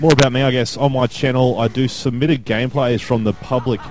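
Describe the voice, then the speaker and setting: Over crowd noise in the background, a man with an Australian accent speaks fairly quickly at a medium pitch. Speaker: esports commentator. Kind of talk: self-introduction video monologue. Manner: fast.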